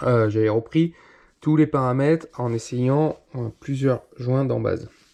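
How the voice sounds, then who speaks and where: At a very slow pace, a man talks with a dark, mellow tone and fairly even intonation. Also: medium pitch for a man, quiet background. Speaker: moped mechanic youtuber. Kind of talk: tutorial. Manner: hesitant, many fillers.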